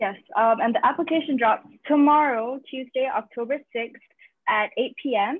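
With lively intonation and a moderate pace, a woman speaks in a dry sound with no echo and a quiet background. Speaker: team organizer. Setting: video call. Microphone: video call.

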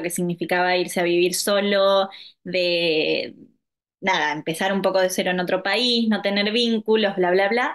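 A woman speaks at a fairly slow pace and medium pitch, with an Argentine accent. The background is quiet. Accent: Argentine Spanish (voseo). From Argentina, La Pampa (Santa Rosa); La Pampa, Argentina. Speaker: yoga instructor. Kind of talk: interview. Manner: hesitant, many fillers. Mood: warm, reflective. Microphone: video call.

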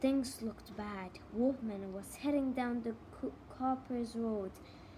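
It's plain reading aloud with ordinary pitch variation.

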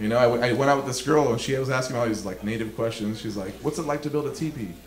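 A man's very fast speech with an American accent and ordinary pitch variation, plus audible room echo and light background noise. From Los Angeles, California. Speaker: stand-up comedian. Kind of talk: live stand-up comedy set. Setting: live comedy club, stage mic. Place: stage. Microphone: handheld.

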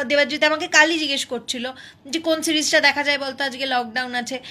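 A woman talks in a raised, projected voice. Her pitch is high, with ordinary variation. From Malda, West Bengal, India; West Bengal, India. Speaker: TV serial actress; television serial actress. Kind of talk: live Q&A with fans. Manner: casual, chatty. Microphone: phone near.

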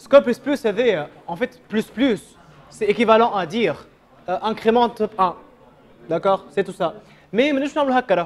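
A man speaks with a high pitch and ordinary pitch variation. He leaves long, frequent pauses. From Tunisia. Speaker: programming instructor. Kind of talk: live coding workshop. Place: classroom.

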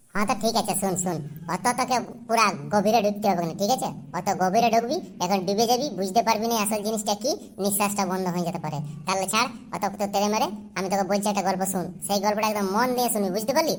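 In a cartoonish character voice at medium pitch, a woman talks at a fairly quick pace over clear background noise. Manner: chatty, bossy, colloquial.

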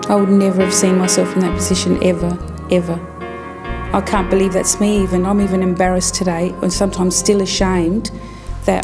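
Clear music plays in the background. The speaker keeps a moderate pace. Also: woman. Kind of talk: interview answer. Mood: ashamed, reflective. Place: studio.

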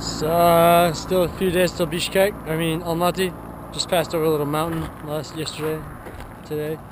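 Speaking with an American accent at a moderate pace, a man uses a fairly high pitch and monotone, flat intonation in a dry sound with no echo and noticeable background noise. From Minnesota, USA. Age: 20s. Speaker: long-distance walker. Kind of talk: casual travel video log to camera. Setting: outdoors. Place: open country. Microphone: phone near.

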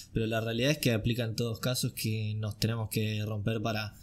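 A somewhat breathy man in a Rioplatense accent. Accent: Argentine Rioplatense Spanish. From Argentina. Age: 20s. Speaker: acting student; podcast host. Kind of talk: casual chat. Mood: relaxed, cheerful. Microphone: studio mic.

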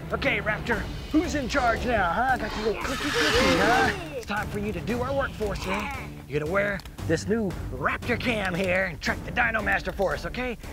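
Clear music plays in the background while a man speaks at a fairly quick pace with ordinary pitch variation, in a dry sound with no echo. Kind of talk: scripted kids' show acting. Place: open country.

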